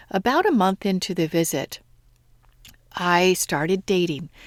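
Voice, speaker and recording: A woman talks fairly slowly in a plain, everyday voice, recorded very cleanly with a silent background and a dry, close sound with no echo. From United States. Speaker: podcast host and manifestation coach. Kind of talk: solo podcast monologue.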